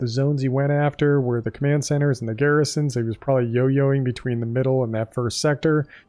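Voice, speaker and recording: The background is quiet as a man speaks. His voice is fairly high in pitch, with a dark, mellow tone. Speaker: gaming youtuber. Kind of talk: gameplay commentary. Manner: calm; casual.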